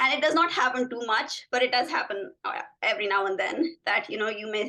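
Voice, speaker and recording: A woman with a non-native accent, a fairly high pitch, lively intonation and a fairly quick pace. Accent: foreign accent in US English. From Pakistan. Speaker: physician, assistant professor of medicine. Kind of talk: interview conversation.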